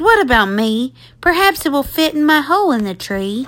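Using a put-on character voice, a woman talks at a moderate pace in a squeaky, high pitch that makes very wide pitch swings. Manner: shy.

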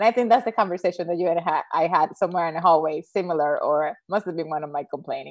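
A woman's fairly low voice in a Spanish accent, very fast, with ordinary pitch variation. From Dominican Republic. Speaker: Spanish professor. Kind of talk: casual interview. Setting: video call.

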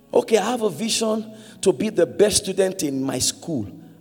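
Noticeable background noise sits behind a man speaking at a moderate pace, animated in tone with very wide pitch swings. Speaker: preacher. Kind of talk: sermon. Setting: church with congregation. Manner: call-and-response.

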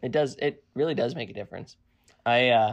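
Against a quiet background, a man with a normal speaking voice talks at a fairly quick pace in a medium pitch with fairly even intonation. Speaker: co-host. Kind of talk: casual chat. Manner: interrupts often, talks over.

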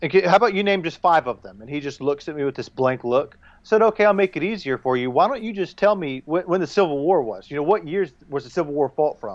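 A man with a Southern US accent speaks very fast, with hardly any pauses, at a fairly high pitch. His intonation is lively and his loudness swings widely against a quiet background. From US South. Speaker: war veteran. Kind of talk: casual chat.

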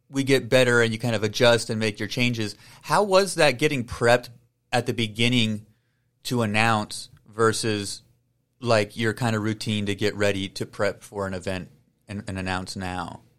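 A man with a plain, everyday voice at a medium pitch, ordinary pitch variation and a moderate pace. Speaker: podcast host. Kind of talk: interview conversation. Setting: video call.

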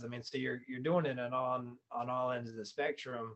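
Here is a man with a plain, everyday voice and an American accent. He speaks at a moderate pace in a medium pitch. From North Carolina (Fayetteville). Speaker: real estate investor and flooring salesman. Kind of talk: casual interview.

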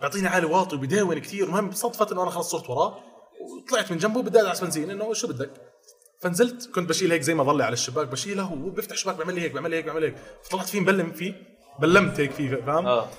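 With noticeable background noise, a man talks at a very fast pace in a high pitch, using ordinary pitch variation. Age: 20s. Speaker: fitness influencer and personal trainer. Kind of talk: casual chat.

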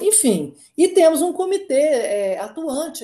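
Her tone dark and mellow, a woman speaks at a high pitch with very wide pitch swings. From Minas Gerais, Brazil. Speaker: company co-founder and board executive. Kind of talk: interview. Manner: hesitant, frequent repetitions and fillers.

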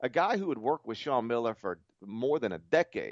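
At a moderate pace, a man with an American accent speaks in an unremarkable speaking voice at a medium pitch, his intonation lively. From US South. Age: 40s. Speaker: college basketball writer and podcast host. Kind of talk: casual chat.

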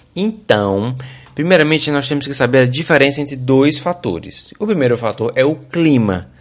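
An animated man with a fairly high pitch and a Brazilian accent. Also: lively intonation, moderate pace. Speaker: podcast host. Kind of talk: casual monologue; explanatory talk.

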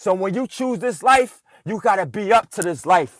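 On a very clean recording with a silent background, a man with a high, energetic voice speaks at a moderate pace with ordinary pitch variation, the sound dry and close with no echo. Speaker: motivational podcast host. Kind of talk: motivational pep talk urging listeners to close their eyes and dream big. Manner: fervent, repetitive, building cadence of short punchy lines; energetic and hyped.

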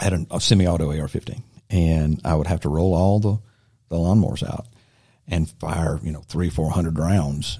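A man with a Southern US accent speaks at a fairly quick pace, his pitch very deep and low. His tone is dark and mellow, with ordinary pitch variation. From Silver Creek, US South. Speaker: inventor and army veteran. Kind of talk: casual interview. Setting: studio.

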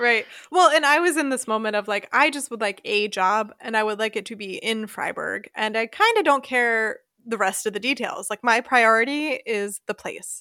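Recorded very cleanly against a silent background, a woman with an American accent talks at a moderate pace, her fairly high, bright, sharp voice showing ordinary pitch variation. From US, Philadelphia suburbs, Pennsylvania. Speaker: expat podcast host. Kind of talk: casual chat.

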